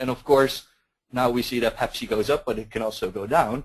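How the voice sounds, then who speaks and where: A man with a Dutch accent, medium in pitch, at a moderate pace with ordinary pitch variation. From Netherlands. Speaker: market research consultant. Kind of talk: webinar presentation. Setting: webinar. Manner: hesitant, repeats words.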